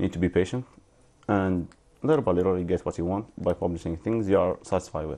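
A man talks at a very fast pace with a fairly low pitch. His tone is dark and mellow, with ordinary pitch variation. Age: 20s. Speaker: writer. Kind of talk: interview. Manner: halting.

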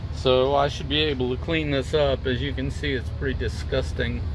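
Very deep and low, a man's voice comes through with a dry sound with no echo and noticeable background noise. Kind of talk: tutorial. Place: car. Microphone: phone near.

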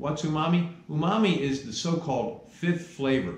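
Room echo can be heard. The speaking pace is moderate. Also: man. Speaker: cooking instructor. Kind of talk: lecture. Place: kitchen.

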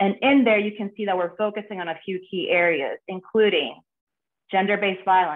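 Woman's voice, moderate in pace, pitch varying in an ordinary way. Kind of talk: prepared remarks presentation. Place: home room. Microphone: video call.

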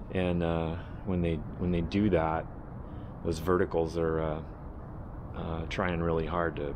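Through noticeable background noise, a man with a very deep, low pitch talks fairly slowly in a monotone, flat way. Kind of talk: casual build vlog explanation. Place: workshop. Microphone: phone near.

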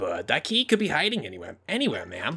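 Using a put-on character voice, a man speaks at a high pitch and a fairly quick pace. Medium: game stream. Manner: folksy, polite, says ma'am.

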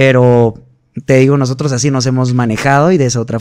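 Against a quiet background, a man speaks at a moderate pace, with a dry sound and no echo. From Guatemala. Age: 30s. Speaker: singer; podcast guest. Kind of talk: casual chat. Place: studio. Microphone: studio mic.

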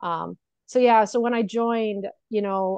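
A woman speaks with an American accent and fairly even intonation, her voice dry with no echo against a quiet background. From Connecticut, US. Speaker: registered nurse and business coach; business coach. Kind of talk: casual interview chat. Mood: candid, reflective. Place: home room. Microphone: earbuds.

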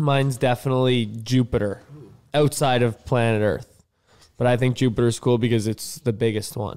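Intonation stays fairly even as a man speaks at a moderate pace. Nothing much disturbs the quiet background. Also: medium pitch for a man. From Canada. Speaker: professional hockey player; guest. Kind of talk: casual chat with children. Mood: playful, friendly. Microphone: studio mic.

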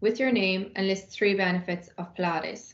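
A woman with a Cork accent speaks with fairly even intonation, and the room echo is audible. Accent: Irish (Cork). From Ireland. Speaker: university sports officer. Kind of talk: scripted welcome announcement. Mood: upbeat, welcoming. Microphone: webcam.

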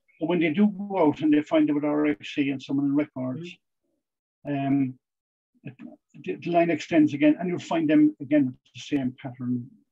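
With an Irish accent, a man talks at a fairly high pitch. His pace is moderate, with ordinary pitch variation. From Ireland. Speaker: police historian and author; guest. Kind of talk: Q&A answers; lecture. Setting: video call. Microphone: video call.

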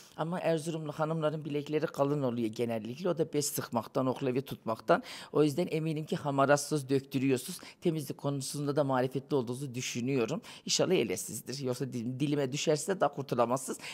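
Against a quiet background, a man with a fairly high voice talks at a fairly quick pace, his pitch varying in an ordinary way. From Turkey, Konya; Turkey. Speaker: interviewee, guest. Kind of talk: casual street interview; interview answer. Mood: playful, teasing. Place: cafe. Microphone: handheld.

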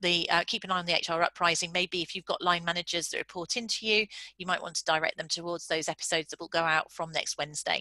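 A woman with a British accent speaks at a very fast pace with hardly any pauses. Her voice is fairly low, and the sound is dry and close with no echo. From UK. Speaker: business founder and psychologist. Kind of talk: webinar presentation. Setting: online video call. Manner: fast talker.

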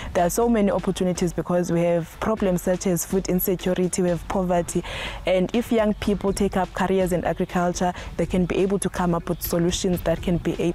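The speech runs at a fairly quick pace with monotone, flat intonation and very even loudness. Noticeable background noise sits underneath. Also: woman. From South Africa, Eastern Cape (rural village). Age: 20s. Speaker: postgraduate plant pathology student. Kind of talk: interview testimony. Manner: somewhat halting, with fillers.

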